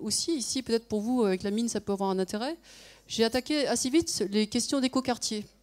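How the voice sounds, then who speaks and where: With a normal speaking voice, a woman talks at a fairly high pitch with ordinary pitch variation, in a very clean recording against a silent background. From France. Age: 50s. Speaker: conference speaker, former consultant and nonprofit founder. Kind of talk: conference talk.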